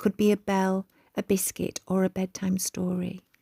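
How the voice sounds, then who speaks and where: Somewhat breathy and dark, mellow in tone, a woman speaks at a medium pitch and a fairly slow pace. The sound is dry and close, with no echo. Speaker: children's author. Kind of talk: calming reflective podcast. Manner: soft-spoken, slow.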